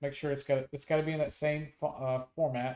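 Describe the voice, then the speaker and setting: This is a man speaking. His pitch is fairly high. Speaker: gaming YouTuber. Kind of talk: tutorial. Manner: casual, many fillers.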